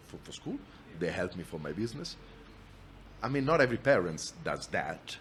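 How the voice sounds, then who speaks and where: A man speaks at a moderate pace with an Italian accent. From Italy, Milan. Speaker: entrepreneur, company founder. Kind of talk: podcast interview. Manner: frequent repetitions and restarts.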